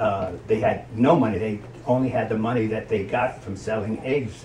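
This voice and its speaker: A man's fairly low voice in an American accent, ordinary pitch variation, noticeable background noise and audible room echo. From New Jersey, Hoboken. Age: 70s. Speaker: grandparent. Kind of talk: interview.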